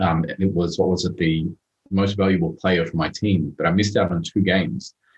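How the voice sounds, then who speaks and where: This man's pitch is very deep and low. He has an Australian accent. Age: 30s. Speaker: motivational speaker. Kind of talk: podcast interview.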